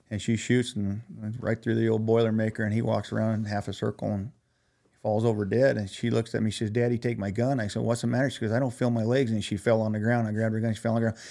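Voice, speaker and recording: A man talks very fast at a medium pitch in a dark, mellow tone with monotone, flat intonation. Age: 60s. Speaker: conservation nonprofit leader. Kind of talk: casual interview.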